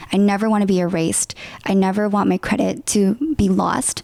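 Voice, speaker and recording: A woman's voice in an American accent, with ordinary pitch variation. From Southern California, Los Angeles San Gabriel Valley. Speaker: content creator and tech product lead. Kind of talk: podcast interview, personal storytelling. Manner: animated, acts out dialogue.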